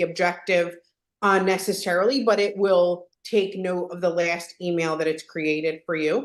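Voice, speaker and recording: A woman with a Philadelphia accent at a moderate pace. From Philadelphia, US. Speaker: software trainer. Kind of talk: live tutorial webinar.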